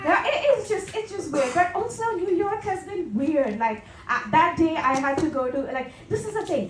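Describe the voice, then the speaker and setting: A woman's voice with a Tamil accent, very wide pitch swings and a moderate pace, with audible room echo and noticeable background noise. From India. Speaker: stand-up comedian. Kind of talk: stand-up. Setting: stage with audience.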